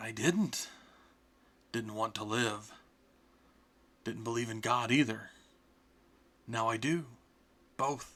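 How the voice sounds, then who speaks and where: Using a put-on character voice, a man at medium pitch talks at a fairly slow pace with fairly even intonation and long, frequent pauses. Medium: read story.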